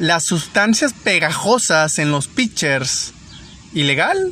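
There is noticeable background noise in the clip. The man's pitch is high. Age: 30s. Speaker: baseball podcast host. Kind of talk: casual monologue. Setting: in a car. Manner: halting.

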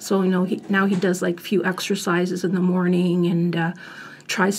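A woman speaks at a moderate pace in a fairly low, somewhat breathy voice. Her intonation stays monotone and flat. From Italian family background. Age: 50s. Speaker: family caregiver. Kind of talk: interview. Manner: halting.

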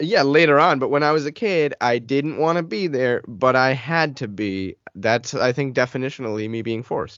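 Using a plain, everyday voice, a man speaks at a moderate pace in a medium pitch, with ordinary pitch variation and hardly any pauses. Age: 30s. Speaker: podcast co-host. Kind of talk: casual chat.

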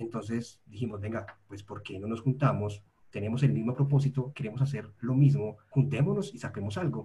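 A man with a dark, mellow, somewhat breathy tone speaks with hardly any pauses, lively intonation and big swings in loudness. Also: medium pitch for a man, moderate pace. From Colombia, Medellín. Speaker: podcast host, UX researcher, academy co-founder. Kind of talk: casual interview chat.

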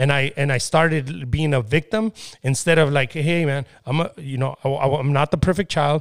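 This man has an unremarkable speaking voice with ordinary pitch variation, talking at a moderate pace in a dry, close sound with no echo. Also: fairly high pitch for a man. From Mexico (Michoacán), raised in US from age 5-6. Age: 30s. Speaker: entrepreneur. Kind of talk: casual interview.

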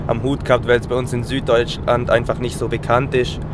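With audible room echo and noticeable background noise, a man talks at a fairly quick pace in a medium-pitched voice with monotone, flat intonation. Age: 20s. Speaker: amateur athlete. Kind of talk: interview. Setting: on the road, in a car.

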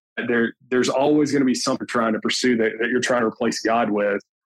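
A man with an Alabama accent, medium pitch and fairly even intonation. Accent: US Southern (Alabama). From northern Alabama (Tuscumbia). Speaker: insurance business owner, former college football player. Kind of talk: interview, casual chat.

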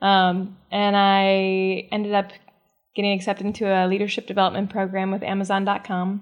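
With an American accent, a woman speaks at a medium pitch. Her intonation stays monotone and flat. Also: moderate pace. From US Midwest. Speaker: relationship coach. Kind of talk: interview. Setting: studio.

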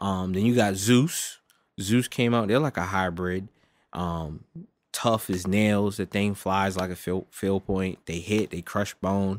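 This man has an unremarkable speaking voice, fairly low in pitch, with fairly even intonation and a fairly slow pace, recorded very cleanly against total silence. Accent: American. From United States. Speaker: archery podcast co-host. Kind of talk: casual chat.

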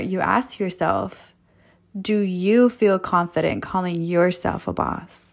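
Over a silent background in a very clean recording, a woman with a Californian accent speaks very slowly, her medium pitch following fairly even intonation. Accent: Californian American English. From Los Angeles. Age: 20s. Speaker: podcast host. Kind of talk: motivational monologue. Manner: casual, laughing.

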